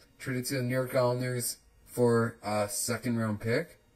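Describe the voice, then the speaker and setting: The speech comes out as mumbling. It moves at a moderate pace. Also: man. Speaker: hockey podcaster. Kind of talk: casual solo podcast talk. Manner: mumbling, many filler words.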